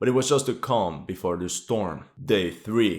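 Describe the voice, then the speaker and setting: A man speaks with a non-native accent on a very clean recording with a silent background. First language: not English. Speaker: military history YouTuber. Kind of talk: war situation commentary.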